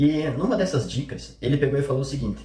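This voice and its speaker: Somewhat breathy and dark, mellow in tone, a man talks at a fairly quick pace amid audible room echo. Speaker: online marketing coach. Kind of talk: vlog commentary.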